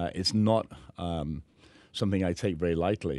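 Against a quiet background, a man speaks at a moderate pace with a very deep, low pitch and a dry sound with no echo. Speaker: guest. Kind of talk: interview answer. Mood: warm, earnest, grateful. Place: studio. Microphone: studio mic.

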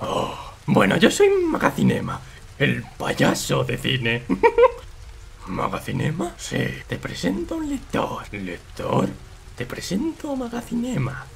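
A man in a put-on character voice talks at a fairly slow pace, with clear background noise behind him. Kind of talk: comedic parody dub. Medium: dub.

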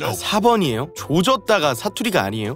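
A man's pitch swings very widely in a dry recording with no echo and light background noise. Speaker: virtual streamer. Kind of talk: casual talk to viewers, dialect quiz game.

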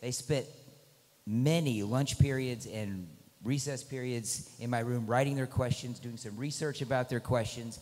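Intonation stays fairly even while the words come at a moderate speed. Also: man. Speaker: teacher moderating a debate. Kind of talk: announcement to an audience. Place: hall. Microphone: handheld.

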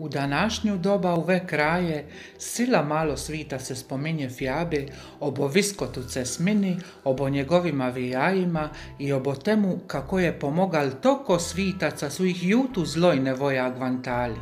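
Using lively intonation, a woman speaks at a moderate pace in a very deep, low pitch. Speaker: folk singer in a klapa group. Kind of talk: dialect fairy tale reading.

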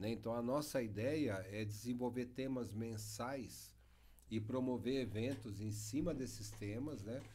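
A man with a dark, mellow tone speaks at a fairly slow pace and with fairly even intonation. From Brazil, Embu-Guaçu, São Paulo state; São Paulo state, Brazil. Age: 50s. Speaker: mayor. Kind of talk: interview conversation. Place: studio. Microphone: studio mic.

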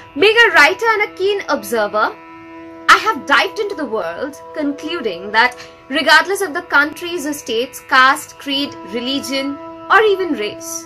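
A woman projects a raised, high-pitched voice over faint music in the background. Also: moderate pace. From India, West Bengal. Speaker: writer, poet and narrator. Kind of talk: festival introduction to camera. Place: home room. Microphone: phone near.

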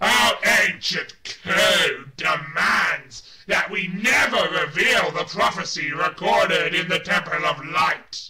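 A man does a put-on character voice, guttural and high-pitched. He goes at a fairly slow pace. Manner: menacing.

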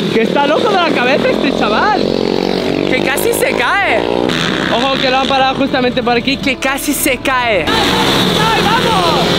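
A man at a fairly slow pace, dry sound with no echo, and loud background noise behind him. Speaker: vlogger. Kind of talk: excited race commentary vlog. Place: stadium. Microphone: phone near.

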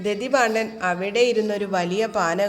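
Someone reads the text aloud in a natural voice.

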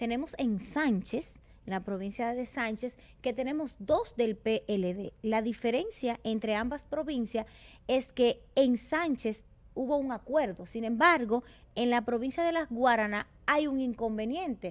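At a fairly slow pace, a woman speaks in a high pitch with ordinary pitch variation. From Dominican Republic. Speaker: TV panelist. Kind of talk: interview; interview talk on politics. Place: studio. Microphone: studio mic.

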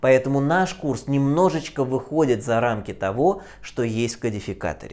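Taking a fairly slow pace, a man talks. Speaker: physics teacher. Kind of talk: lecture. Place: classroom. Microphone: lapel.

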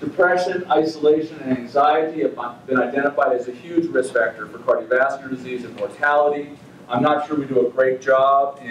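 Light background noise and audible room echo surround the recording. A man speaks at a moderate pace. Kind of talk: lecture. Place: meeting room.

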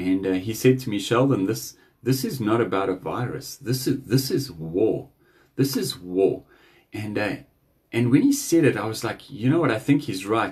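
Somewhat breathy, a man speaks at a moderate pace with ordinary pitch variation. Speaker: speaker. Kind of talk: devotional message. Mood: earnest, urging. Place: home room. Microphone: phone near.

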